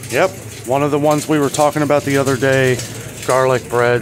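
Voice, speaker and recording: A fairly quick pace amid noticeable background noise. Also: man. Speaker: vlogger. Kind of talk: casual vlog commentary. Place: shop. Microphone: phone near.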